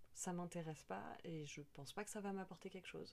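A woman talks at a fairly quick pace in an ordinary speaking voice, medium in pitch with ordinary pitch variation. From Paris. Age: 30s. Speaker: cultural mediation worker. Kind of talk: casual interview. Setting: indoors at home.

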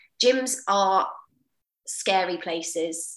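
A woman with a southern English accent on a very clean recording with a silent background. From Portsmouth, southern England. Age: 30s. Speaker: personal trainer. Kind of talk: interview.

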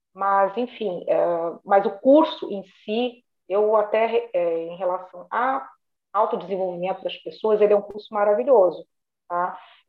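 This woman has an ordinary speaking voice at a medium pitch, with ordinary pitch variation. She talks at a fairly slow pace, and her loudness swings widely. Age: 50s. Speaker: retired bank manager. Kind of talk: casual interview.

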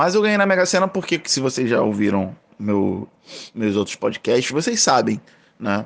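Against a quiet background, a man speaks at a moderate pace and medium pitch with very wide pitch swings and very even loudness. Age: 30s. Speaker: podcast host. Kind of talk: casual monologue. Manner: casual.

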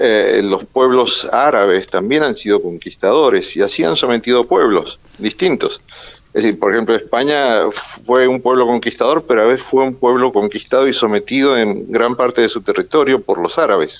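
A man at a moderate pace, his loudness very even. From Argentina, Mendoza. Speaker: journalist and author. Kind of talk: interview. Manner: hesitant, many fillers.

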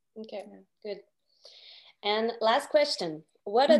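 Speaking in a Quebec accent, a woman keeps a fairly slow pace, a fairly high pitch and ordinary pitch variation. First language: French. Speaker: podcast host. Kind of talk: interview.

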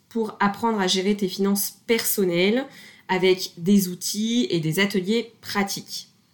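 A woman speaks at a medium pitch with ordinary pitch variation. It is a normal speaking voice. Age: 20s. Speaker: podcast host and property investor. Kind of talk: scripted show intro and product pitch.

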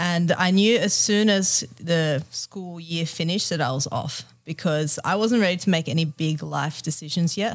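A woman with an Australian accent and a fairly low pitch speaks at a moderate pace with ordinary pitch variation and hardly any pauses, in a very clean recording with a silent background. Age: 30s. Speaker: yoga teacher and travel retreat organiser. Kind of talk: casual interview.

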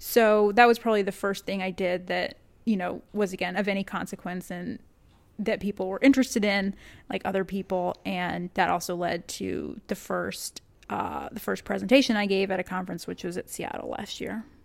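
In an American accent with vocal fry, the speaker keeps a moderate pace and fairly even intonation on a very clean recording with a silent background. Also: woman, medium pitch for a woman. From Texas. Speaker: data analyst and hockey data visualizer. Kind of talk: casual interview.

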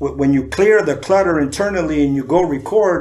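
Amid audible room echo, a man with a fairly high voice talks at a fairly quick pace. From San Diego, California. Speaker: rapper. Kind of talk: casual chat.

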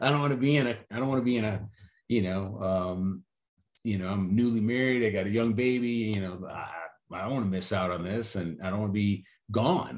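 A man with an American accent talks at a fairly quick pace. He has a normal speaking voice, fairly low in pitch, with ordinary pitch variation. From Chicago suburbs, US Midwest. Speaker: businessman, Marine veteran, father. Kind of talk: casual interview.

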